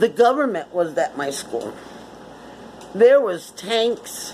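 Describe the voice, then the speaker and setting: A woman with an American accent speaks at a fairly slow pace and a fairly high pitch, her pitch swinging very widely. Noticeable background noise is present. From Connecticut, US. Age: 60s. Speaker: vlogger. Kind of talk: casual monologue.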